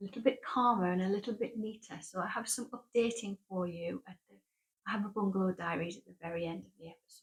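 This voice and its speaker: A woman talks very fast in a northeast English accent, her medium pitch showing ordinary variation. Her voice is somewhat breathy, with big swings in loudness. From northeast England. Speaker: knitting podcaster. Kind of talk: casual monologue to camera. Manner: hesitant, with fillers and restarts.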